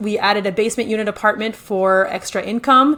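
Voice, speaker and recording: Over noticeable background noise, a woman with a French Canadian accent speaks in a fairly high pitch. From French Canada. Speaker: real estate investor and builder. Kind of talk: podcast interview.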